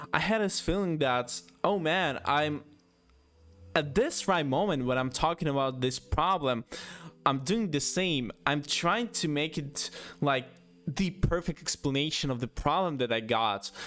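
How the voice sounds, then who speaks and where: A man's fairly high, lively voice at a fairly slow pace, with music in the background. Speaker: YouTuber. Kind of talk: casual monologue. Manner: halting, many pauses.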